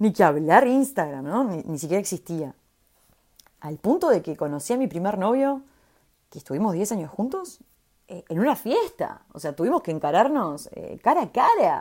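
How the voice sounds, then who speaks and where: A woman speaks in a Rioplatense accent at medium pitch with an animated tone. Her pitch swings very widely and her loudness swings a lot. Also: moderate pace. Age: 30s. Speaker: podcast host. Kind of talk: casual monologue.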